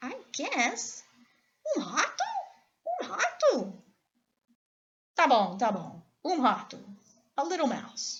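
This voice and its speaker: A woman uses a put-on character voice with a high pitch. She talks at a fairly slow pace with long, frequent pauses. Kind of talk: bedtime story. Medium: read story.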